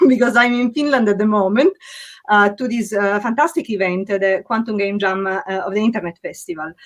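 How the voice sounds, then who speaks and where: A woman speaks with an Italian accent. Her pitch is fairly high, with ordinary variation. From Sicily, Italy. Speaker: physics professor. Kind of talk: event introduction.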